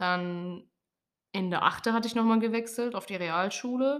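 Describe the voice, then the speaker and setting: In a normal speaking voice, a woman talks with ordinary pitch variation. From Lower Saxony, near Hannover. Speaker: podcast co-host. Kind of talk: casual chat.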